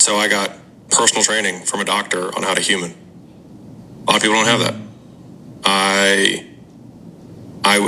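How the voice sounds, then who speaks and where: The intonation is monotone and flat. Noticeable background noise runs under the speech. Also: man. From US. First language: French. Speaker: podcast guest. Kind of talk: candid conversation.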